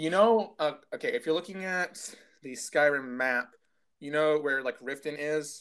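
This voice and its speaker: This speaker has an American accent and a moderate pace. It is a plain, everyday voice with ordinary pitch variation. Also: man, fairly high pitch for a man. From United States. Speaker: podcast co-host. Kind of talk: casual chat. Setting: at home.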